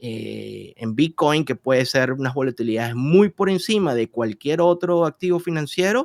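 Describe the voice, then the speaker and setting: With a Venezuelan accent, a man talks at a moderate pace with hardly any pauses. His pitch is fairly high and his intonation lively. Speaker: investment and trading expert. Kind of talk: interview. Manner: hesitant, frequent fillers.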